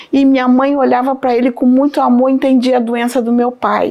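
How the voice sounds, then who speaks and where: Noticeable noise sits in the background. A woman is talking. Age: 60s. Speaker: religious testimony giver. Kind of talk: testimony. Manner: halting.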